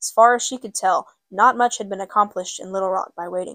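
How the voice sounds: It is a natural reading voice set against a quiet background.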